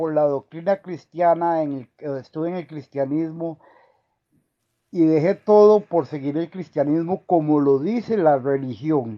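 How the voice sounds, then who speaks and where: Recorded dry and close with no echo and a quiet background, a man speaks in a high, dark, mellow voice with ordinary pitch variation. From Costa Rica, from San Andrés Colombia. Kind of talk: call-in conversation.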